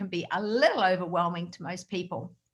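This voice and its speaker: Fairly even intonation marks a woman speaking at a medium pitch. She has an Australian accent and a moderate pace. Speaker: direct sales trainer. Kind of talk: motivational talk. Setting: video call.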